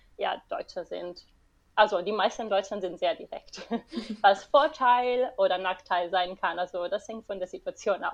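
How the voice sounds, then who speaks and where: With an Italian accent, a woman speaks fairly slowly at medium pitch, showing ordinary pitch variation and big swings in loudness. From Italy, Rome area. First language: Italian (speaking German). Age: 20s. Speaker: marine biologist. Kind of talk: interview. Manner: halting.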